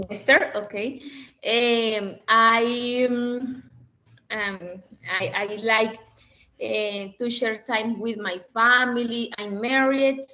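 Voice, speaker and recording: With a Spanish accent, a woman speaks at a fairly high pitch and a very slow pace, leaving long, frequent pauses. Her tone is bright and sharp, and her intonation fairly even. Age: 20s. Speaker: student. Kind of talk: self-introduction in class. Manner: halting.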